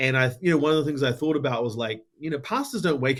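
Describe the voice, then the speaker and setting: A man speaks with a New Zealand accent. His intonation stays fairly even. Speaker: tech company founder and ministry organization CEO. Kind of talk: podcast interview.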